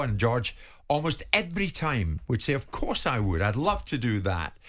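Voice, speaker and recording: At a moderate pace and medium pitch, a man talks in a normal speaking voice. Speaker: radio sports presenter. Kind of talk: radio interview introduction.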